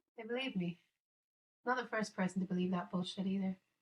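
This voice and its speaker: A woman speaks with an Irish accent. Her voice is somewhat breathy and sits at a medium pitch. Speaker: live streamer. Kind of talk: casual chat. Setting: live stream in virtual world.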